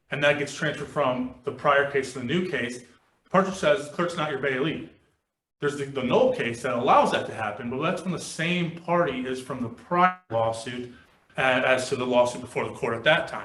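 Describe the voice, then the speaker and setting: Audible room echo surrounds a man speaking at a moderate pace. His fairly high pitch shows ordinary pitch variation. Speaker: attorney. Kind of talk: appellate oral argument. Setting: courtroom. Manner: loud; formal.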